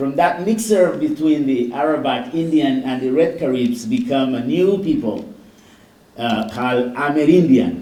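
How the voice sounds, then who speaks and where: A man with a non-native accent, fairly high pitch and very wide pitch swings, in audible room echo. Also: moderate pace. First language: Garifuna. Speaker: doctor, keynote speaker. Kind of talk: keynote speech.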